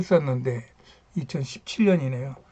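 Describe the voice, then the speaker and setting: The speaker is a man. A somewhat breathy quality runs through his voice. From rural Korea. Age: 70s. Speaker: YouTuber, retired engineer. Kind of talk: casual talk on history and culture. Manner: halting, many fillers.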